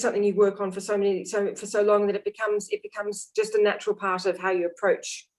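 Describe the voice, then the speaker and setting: In a medium-pitched voice, a woman talks very fast with a flat, monotone delivery. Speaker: oboist and music teacher. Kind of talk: interview conversation.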